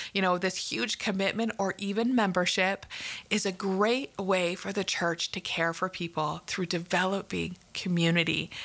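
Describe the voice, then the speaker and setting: At a moderate pace, a woman with a Canadian accent talks in a bright, sharp tone. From Canada. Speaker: podcast host, care ministry leader and former clinical social worker. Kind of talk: solo podcast teaching monologue.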